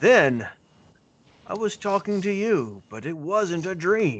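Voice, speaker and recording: This man puts on a character voice pitched high. He speaks at a fairly slow pace. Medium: actual play. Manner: gentle, friendly.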